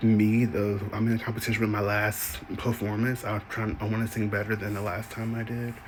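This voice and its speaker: Amid noticeable background noise, a man talks at a moderate pace with a fairly low pitch and monotone, flat intonation. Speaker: singer and content creator. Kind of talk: casual vlog monologue. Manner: casual with many fillers.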